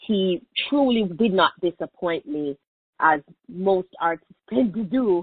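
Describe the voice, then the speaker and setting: A woman's voice of medium pitch, with ordinary pitch variation. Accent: strong Jamaican. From Jamaica, Kingston. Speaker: media personality. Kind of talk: interview.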